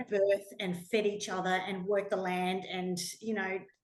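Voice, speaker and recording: A woman with an Australian accent at a fairly slow pace, with audible room echo. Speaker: pilgrim sharing travel experiences. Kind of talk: talk to a small audience. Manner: animated.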